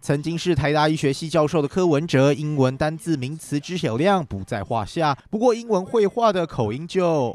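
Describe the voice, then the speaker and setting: A man with a plain, everyday voice, lively intonation, a moderate pace, and hardly any pauses. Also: fairly high pitch for a man. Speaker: news reporter. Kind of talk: TV news report narration.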